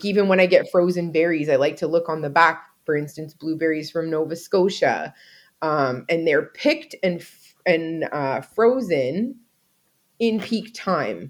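A woman with a plain, everyday voice speaks fairly slowly at a fairly low pitch, with ordinary pitch variation and big swings in loudness. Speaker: podcast co-host. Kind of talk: casual chat.

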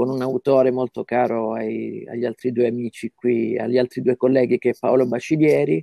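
A man's dark, mellow voice at medium pitch, moderate in pace with ordinary pitch variation, in a dry, close sound with no echo. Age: 40s. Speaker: comic artist and translator. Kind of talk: casual interview.

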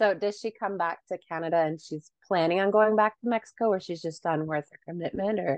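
A woman's unremarkable speaking voice at medium pitch, fairly quick, with ordinary pitch variation and big swings in loudness. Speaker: podcast co-host and author. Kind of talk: casual interview.

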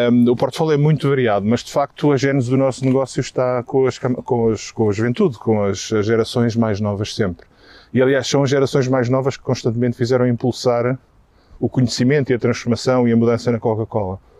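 The delivery is fairly quick with fairly even intonation. It is an ordinary speaking voice. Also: man, medium pitch for a man. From Portugal. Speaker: marketing executive. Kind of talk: interview. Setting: outdoors, walking in a park.

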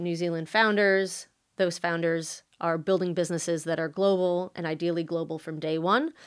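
Someone with a New York accent speaks at a moderate pace in a monotone, flat intonation. The recording is very clean, with a silent background. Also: woman. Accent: American, New York area. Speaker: venture capital investor. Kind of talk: interview.

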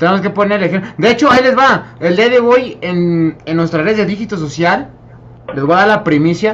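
Amid noticeable background noise, a man with a high pitch speaks at a moderate pace with lively intonation. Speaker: podcast panel member. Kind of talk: casual chat.

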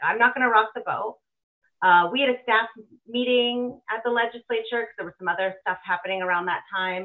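Using an ordinary speaking voice, a woman with a Canadian accent speaks with lively intonation and a fairly high pitch. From Alberta, Canada. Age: 40s. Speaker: ex-political staffer and party volunteer. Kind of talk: interview.

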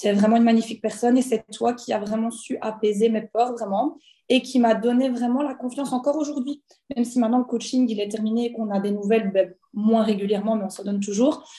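A woman speaks very fast, her fairly high voice held to fairly even intonation. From Belgium. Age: 20s. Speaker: former physiotherapist turned entrepreneur. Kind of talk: personal testimony. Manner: hesitant, many fillers.

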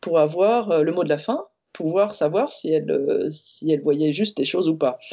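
A woman speaks at a moderate pace. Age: 40s. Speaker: designer and entrepreneur sharing coming-out story. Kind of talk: testimony. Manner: halting.

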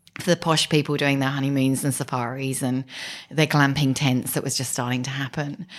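A woman's very deep, low voice in an English accent, monotone and flat, at a fairly quick pace. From southern England, Kent. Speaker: business executive. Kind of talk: interview.

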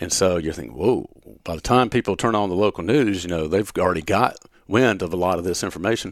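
In a very clean recording with a silent background, a man with a very deep, low voice and a Southern US accent talks at a very fast pace with ordinary pitch variation. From upstate South Carolina, Gaffney. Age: 50s. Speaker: TV meteorologist. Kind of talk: casual interview.

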